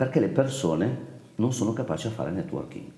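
Amid noticeable background noise and audible room echo, a man's voice swings very widely in pitch. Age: 50s. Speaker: company founder. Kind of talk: interview.

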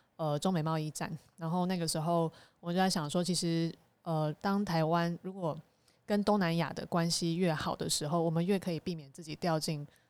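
In a very clean recording with a silent background, a woman with a normal speaking voice talks at a moderate pace, fairly low in pitch, with fairly even intonation. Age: young. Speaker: association chairperson, digital diplomacy activist. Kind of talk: casual chat.

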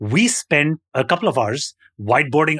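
With a dry, close sound, no echo and a very clean recording with a silent background, a man speaks in an unremarkable speaking voice at fairly high pitch. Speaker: podcast co-host.

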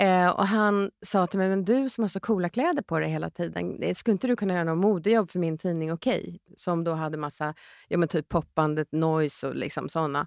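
In a very clean recording with a silent background and a dry, close sound with no echo, a woman with a plain, everyday voice talks at a fairly quick pace and fairly low pitch, with ordinary pitch variation and hardly any pauses. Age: 50s. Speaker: entrepreneur. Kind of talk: casual chat.

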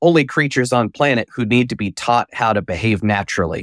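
A man speaks at medium pitch with an American accent and ordinary pitch variation. The sound is dry and close with no echo, on a very clean recording against a silent background. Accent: Southern Appalachian, now relaxed. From mountains of North Carolina. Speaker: professional mentalist, author and coach. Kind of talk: casual podcast interview.

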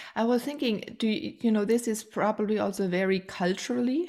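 A woman talks at a fairly slow pace on a very clean recording with a silent background. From Germany. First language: German. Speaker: podcast host. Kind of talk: interview. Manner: warm, effusive.

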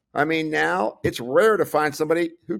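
A man talks at a moderate pace in a bright, sharp, fairly high voice with lively intonation and some vocal fry. The recording is very clean, with a silent background. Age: 60s. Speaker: clinical pharmacist and nutritionist. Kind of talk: interview.

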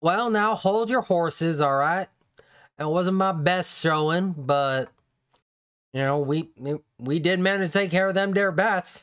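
A put-on character voice drawls at a moderate pace and middle pitch. Long, frequent pauses break up the speech. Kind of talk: comic character acting. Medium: actual play. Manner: drawling, folksy, boastful.

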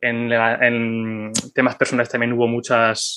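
This man's voice sits at a medium pitch and carries a bright, sharp tone. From Zaragoza, Spain. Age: 30s. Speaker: podcaster and project manager. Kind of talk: casual interview.

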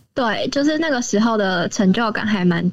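Here a woman talks at a fairly high pitch. Her pitch varies in an ordinary way. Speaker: university student volunteer. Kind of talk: casual interview. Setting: remote recording.

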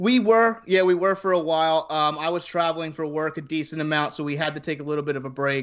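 A plain, everyday voice at a fairly quick pace, with ordinary pitch variation and a quiet background. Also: man. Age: 20s. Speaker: blog writer and podcaster. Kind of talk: casual chat.

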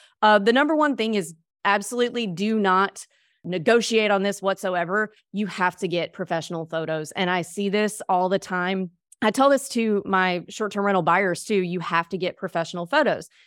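A woman with an American accent talks in a plain, everyday voice at medium pitch, with ordinary pitch variation and a moderate pace. The recording is very clean with a silent background, and the sound is dry and close with no echo. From US South, Mississippi. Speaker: real estate investor. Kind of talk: interview.

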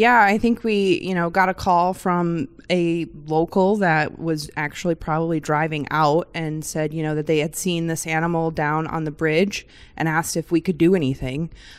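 A normal speaking voice from a woman with an American accent, fairly low pitch, fairly even intonation, and moderate pace, on a very clean recording with a silent background. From Michigan. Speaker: animal health coordinator. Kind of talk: casual interview.

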